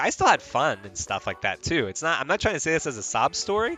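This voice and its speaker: Over music in the background, a man with an American accent talks at a very fast pace. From Mexico. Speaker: streamer. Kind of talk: casual livestream chat. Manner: rambling, many fillers and restarts.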